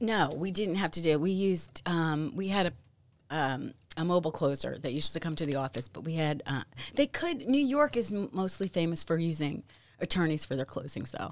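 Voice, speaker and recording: Using an ordinary speaking voice, the speaker goes at a fairly quick pace with lively intonation. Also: woman, fairly low pitch for a woman. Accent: American. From New Jersey (north, then South Jersey). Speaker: real estate agent. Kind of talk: casual chat. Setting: studio.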